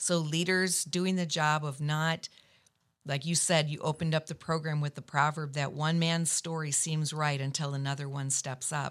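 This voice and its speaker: A woman with a very deep, low voice speaks at a moderate pace in a flat monotone. The recording is very clean, with a silent background. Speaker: lead pastor and podcast host. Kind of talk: casual chat.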